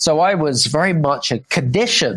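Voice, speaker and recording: A man with a British accent, at a fairly slow pace. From England, UK. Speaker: business coach and author. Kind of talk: podcast interview.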